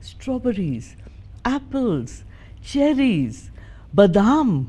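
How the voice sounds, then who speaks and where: Her tone is dark and mellow, somewhat breathy, at a medium pitch for a woman. She makes very wide pitch swings. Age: 60s. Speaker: interview guest. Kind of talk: interview conversation.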